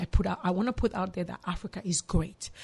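A woman speaks at a fairly quick pace with medium pitch. Vocal fry runs through her voice. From DR Congo, Kinshasa. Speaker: psychologist and mental health counselor. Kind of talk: interview.

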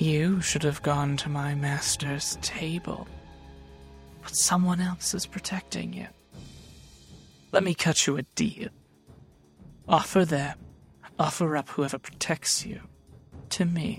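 A put-on character voice at a middle pitch moves at a fairly slow pace with long, frequent pauses. Faint music plays in the background. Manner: smug dealmaker turning spiteful.

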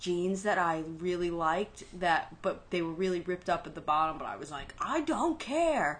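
A woman speaks with a strong New York accent. Her pace is fairly slow and her pitch fairly low. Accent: New York, heavy. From Brooklyn, New York. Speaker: podcast co-host. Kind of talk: casual chat.

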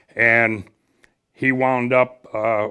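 With a Midwestern American accent, a man talks at a medium pitch against a quiet background. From northern Illinois (Ottawa). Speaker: retired radio station manager. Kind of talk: casual interview. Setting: studio.

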